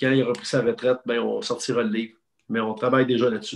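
A man speaks with a Quebec accent. His pace is very fast. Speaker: sports journalist. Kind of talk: casual chat; interview answer. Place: home room. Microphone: video call.

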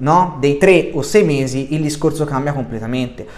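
Ordinary pitch variation at a fairly quick pace. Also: man. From Sardinia. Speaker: football YouTuber. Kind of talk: monologue video commentary. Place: home room. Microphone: webcam.

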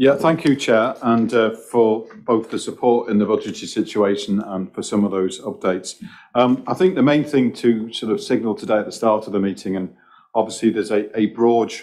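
A man talks at a fairly quick pace with ordinary pitch variation over a quiet background. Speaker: senior police officer reporting to board. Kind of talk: formal meeting statement. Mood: serious, measured. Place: meeting room. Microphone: podium.

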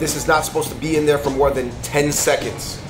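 A man rushes through his words at a very fast pace as music plays in the background. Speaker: food vlogger. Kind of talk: casual vlog chat. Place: cafe.

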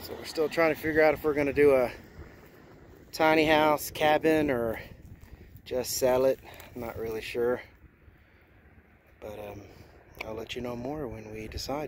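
A man speaks at a moderate pace with long, frequent pauses, big swings in loudness and ordinary pitch variation. The sound is dry with no echo, with light background noise. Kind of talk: casual vlog chat. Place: open country. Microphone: phone near.

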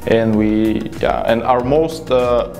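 Music plays clearly behind a man as he talks. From Bulgaria. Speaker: software developer. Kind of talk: interview answer. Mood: friendly, upbeat. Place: studio. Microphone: lapel.

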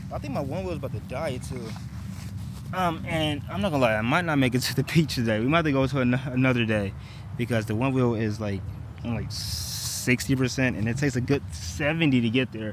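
A man in an American accent talks at a fairly quick pace with ordinary pitch variation. The sound is dry with no echo, but there is noticeable background noise. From US small town. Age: 20s. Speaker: vlogger. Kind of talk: casual vlog narration. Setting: outdoors. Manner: casual, filler-heavy speech. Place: street. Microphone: earbuds.

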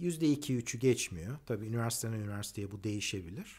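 This man's intonation is lively. His tone comes across somewhat breathy. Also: quiet background. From Turkey. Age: 50s. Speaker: economist and engineer. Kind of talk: personal monologue; personal talk, monologue. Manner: hesitant, many fillers. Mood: calm, critical, reflective. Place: garden. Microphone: phone near.

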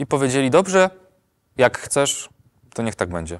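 A man is heard against a quiet background. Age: 20s. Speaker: actor and voice-over artist; actor. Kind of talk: testimony. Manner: hesitant with fillers. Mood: calm, reflective. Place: studio. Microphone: lapel.

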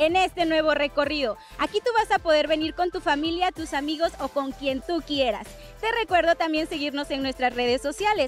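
At a moderate pace, a woman speaks with a high pitch, faint music behind her and a dry sound with no echo. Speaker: TV program host. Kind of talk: TV presenter intro. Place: street. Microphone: handheld.

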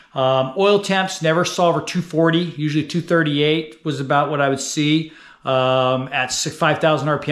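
A man speaks at a fairly quick pace. His fairly bright tone sits at a fairly high pitch.

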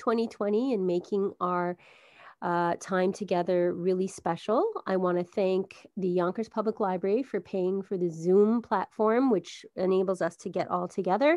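Against a quiet background, a woman at medium pitch uses a normal speaking voice, with fairly even intonation and a moderate pace. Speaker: library wellness program host. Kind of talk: welcome announcement. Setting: video call.

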